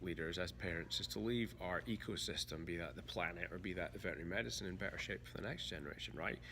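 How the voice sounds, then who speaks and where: A very fast, bright, sharp voice with vocal fry and very wide pitch swings, in audible room echo. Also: man. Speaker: veterinarian, author and podcaster. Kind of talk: casual interview. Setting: veterinary conference. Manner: halting, repeats words.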